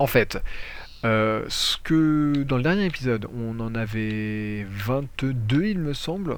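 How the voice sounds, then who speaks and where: A man is speaking here. His intonation is lively. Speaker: gaming youtuber. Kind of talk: gameplay tutorial commentary. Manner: hesitant, many fillers.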